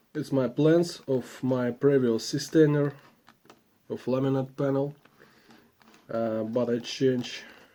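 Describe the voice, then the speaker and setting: Speaking at a fairly slow pace, a man uses a medium pitch, a dark, mellow tone and fairly even intonation. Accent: non-native. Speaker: woodworking vlogger. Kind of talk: casual vlog. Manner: halting, with many fillers.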